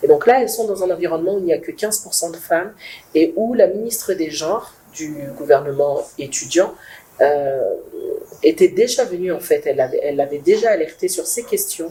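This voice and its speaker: Using lively intonation and a medium pitch, a woman speaks at a moderate pace with big swings in loudness. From not Congolese, foreign to Congo. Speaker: project founder. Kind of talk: talk show interview. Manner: hesitant, many fillers.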